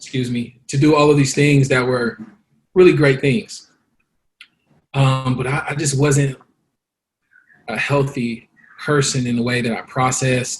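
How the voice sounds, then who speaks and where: A man with an American accent sounds somewhat breathy. He leaves long, frequent pauses. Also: medium pitch for a man, fairly even intonation, fairly slow pace. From Los Angeles, South Central. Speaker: guest. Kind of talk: interview testimony. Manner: halting.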